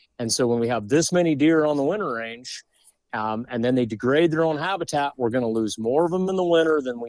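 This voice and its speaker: The voice carries an American accent and lively intonation. It moves at a fairly quick pace in a dry, close sound with no echo. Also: man. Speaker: hunting podcast host and author. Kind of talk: casual chat. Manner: animated.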